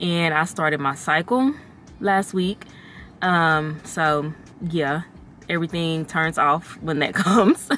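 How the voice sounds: A woman talks slowly at a low pitch. Her tone is fairly bright. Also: ordinary pitch variation.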